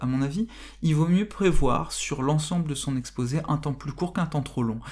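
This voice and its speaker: Delivered at a moderate pace, the speech comes in a very clean recording with a silent background. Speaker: philosophy teacher. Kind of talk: tutorial. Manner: halting.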